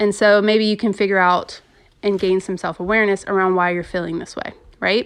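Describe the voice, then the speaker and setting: A woman's medium-pitched, a normal speaking voice, fairly even in intonation, at a moderate pace against a quiet background. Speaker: podcast host. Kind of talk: casual solo podcast talk.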